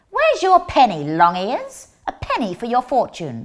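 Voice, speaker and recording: At a moderate pace, a female-sounding voice in a put-on character voice speaks with a high pitch. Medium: stage play. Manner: brusque, scolding.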